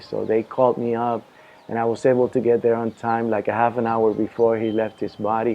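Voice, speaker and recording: A fairly quick delivery from a man, medium in pitch. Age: 60s. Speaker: devotee telling his conversion story. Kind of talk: testimony. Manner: halting, with many fillers and restarts.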